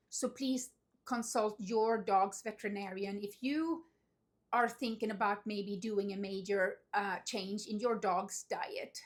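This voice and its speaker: In a very clean recording with a silent background, a woman speaks very slowly at a fairly high pitch with ordinary pitch variation. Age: 50s. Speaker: dog owner vlogger. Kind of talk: casual talk to camera.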